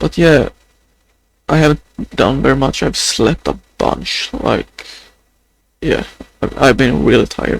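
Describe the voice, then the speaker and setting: A man talks with a Swedish accent. The sound is dry and close, with no echo. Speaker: vlogger. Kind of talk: video diary. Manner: halting.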